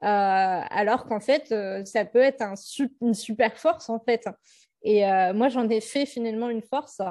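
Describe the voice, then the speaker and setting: Pitched fairly high, a woman's voice has a dark, mellow tone. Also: ordinary pitch variation, fairly slow pace, quiet background. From Centre-Val de Loire, France. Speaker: public speaker on learning disorders. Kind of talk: interview testimony. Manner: halting, many fillers.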